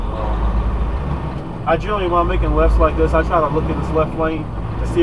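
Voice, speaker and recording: Loud background noise fills the recording. Through it, a man speaks at a moderate pace. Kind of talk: casual vlog chat, instructional. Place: car. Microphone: camera far.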